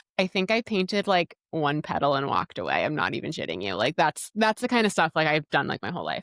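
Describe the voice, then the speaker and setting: With an animated tone and lively intonation, a woman talks at a very fast pace in a fairly low pitch with vocal fry, in a dry, close sound with no echo. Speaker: podcast host and dietitian. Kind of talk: casual solo podcast talk.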